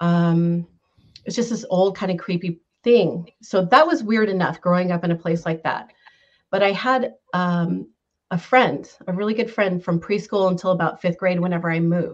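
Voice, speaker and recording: Speaking at a moderate pace, a woman with an American accent has an ordinary speaking voice, medium pitch and ordinary pitch variation. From Northern California. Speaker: caller sharing paranormal experiences. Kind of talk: personal storytelling. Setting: video call.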